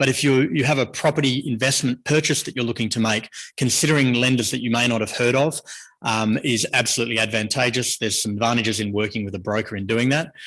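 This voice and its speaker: A man with an Australian accent speaks at a very fast pace, his medium-pitched voice fairly even in intonation against a quiet background. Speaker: mortgage broker. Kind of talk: presentation talk. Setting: stage with audience.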